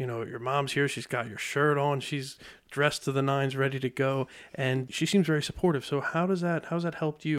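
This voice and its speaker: Delivered at a fairly quick pace with fairly even intonation, the voice is an unremarkable speaking voice. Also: man, fairly high pitch for a man, very clean recording, silent background. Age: 30s. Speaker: podcast host. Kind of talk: interview. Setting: studio.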